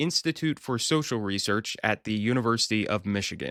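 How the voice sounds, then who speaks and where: A man of medium pitch at a moderate pace, dry and close with no echo, in a very clean recording with a silent background. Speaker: podcast host, occupational safety and health researcher. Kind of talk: solo podcast commentary on a study. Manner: animated.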